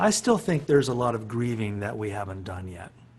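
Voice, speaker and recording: A man with a somewhat breathy voice. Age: 60s. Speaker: philosophy professor and musician. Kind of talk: reflective talk on a webinar. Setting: video call.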